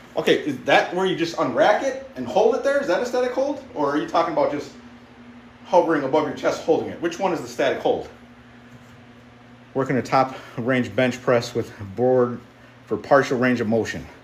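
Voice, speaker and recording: Amid noticeable background noise and audible room echo, a man with a fairly high pitch talks at a fairly quick pace, with very wide pitch swings and long, frequent pauses. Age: 50s. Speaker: strength athlete, fitness livestreamer. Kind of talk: casual livestream chat while working out. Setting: home basement gym. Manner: animated.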